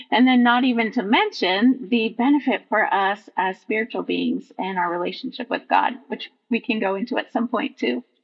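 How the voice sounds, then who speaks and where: A woman with an American accent speaks in a plain, everyday voice at a moderate pace with hardly any pauses. Her fairly high pitch moves with ordinary variation. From Vermont, US Northeast. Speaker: nature journaling teacher. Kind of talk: casual interview.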